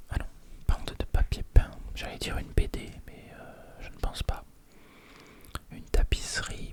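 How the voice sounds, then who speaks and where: Whispering with a relaxed tone, a man talks at a fairly slow pace with long, frequent pauses and big swings in loudness over noticeable background noise. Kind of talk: ASMR crossword solving, casual talk to camera. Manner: quiet, relaxed, thinking aloud.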